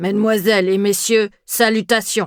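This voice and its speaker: Using a put-on character voice, a female-sounding speaker talks at a medium pitch for a woman and a moderate pace, in a monotone with flat intonation. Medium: read story. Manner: commanding, military.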